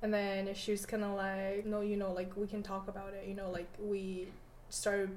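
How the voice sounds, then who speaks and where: Through noticeable background noise, a woman speaks at a moderate pace and medium pitch in a monotone, flat way. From Canada, born in China. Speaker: student. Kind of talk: casual chat.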